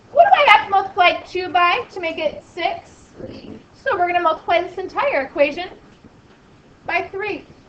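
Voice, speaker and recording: Speech with lively intonation moves at a moderate pace, broken by long, frequent pauses, with noticeable background noise and big swings in loudness. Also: woman, extremely high pitch for a woman. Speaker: math teacher. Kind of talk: classroom lecture. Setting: classroom with students.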